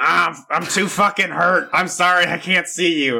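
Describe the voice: A man's raspy, put-on character voice, high-pitched, at a moderate pace.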